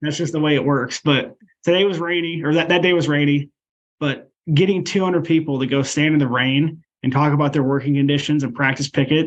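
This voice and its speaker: With an American accent and a normal speaking voice, a man talks at a fairly quick pace, fairly high in pitch, with fairly even intonation. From Iowa (Ankeny). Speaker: union leader and delivery driver. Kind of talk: interview.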